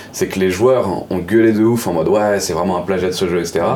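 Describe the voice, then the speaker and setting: Against noticeable background noise and audible room echo, a man speaks with a very deep, low pitch and fairly even intonation. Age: 20s. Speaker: pixel artist. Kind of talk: casual chat.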